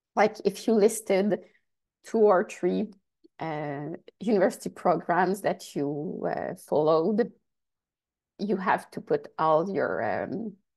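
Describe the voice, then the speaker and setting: Speaking at a very slow pace with long, frequent pauses, a woman with a French accent shows vocal fry. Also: medium pitch for a woman, ordinary pitch variation. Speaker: research funding agency advisor. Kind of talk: workshop presentation; Q&A answer in English. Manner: halting.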